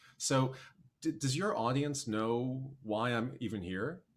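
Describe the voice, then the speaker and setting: Lively intonation and vocal fry from a man with an American accent at medium pitch. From US Midwest, Milwaukee, Wisconsin. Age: 40s. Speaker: documentary filmmaker and musician. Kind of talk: casual chat.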